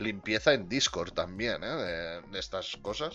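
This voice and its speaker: Here a man speaks in a bright, sharp tone. His intonation is lively. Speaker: podcast host and streamer. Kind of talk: casual chat. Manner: quieter than usual.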